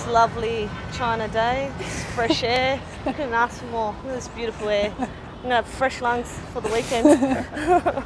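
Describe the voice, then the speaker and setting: Over noticeable background noise, a woman with a high pitch talks at a fairly slow pace in a dry sound with no echo. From Australia. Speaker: professional footballer. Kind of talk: casual interview. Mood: joking, sarcastic; emotional story told warmly. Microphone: lapel.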